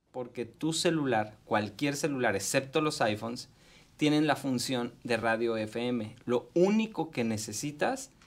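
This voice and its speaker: Speech from a man comes at a fairly slow pace. Pitch variation stays ordinary. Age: 40s. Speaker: tech columnist; tech vlogger. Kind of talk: radio tech segment interview. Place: studio. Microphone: studio mic.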